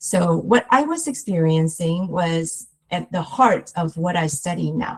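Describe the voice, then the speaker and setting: A woman speaks with a Chinese accent. Her voice sits fairly low in pitch and is somewhat breathy. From Taiwan. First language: Mandarin Chinese. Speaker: researcher. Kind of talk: lecture. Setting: webinar.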